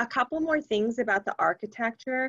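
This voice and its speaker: Here is a normal speaking voice with ordinary pitch variation at a fairly quick pace. The background is quiet. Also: woman. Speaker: sex education trainer. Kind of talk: webinar presentation.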